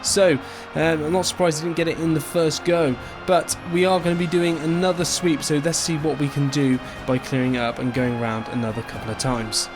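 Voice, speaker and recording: Music plays in the background as a man with an English accent speaks at a fairly quick pace in a fairly high pitch. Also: ordinary pitch variation. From England. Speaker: tech reviewer. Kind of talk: product review narration. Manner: animated.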